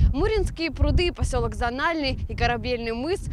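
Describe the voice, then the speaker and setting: Over noticeable background noise, a woman speaks at a moderate pace in a dry sound with no echo. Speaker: TV news reporter. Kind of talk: scripted narration. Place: open country.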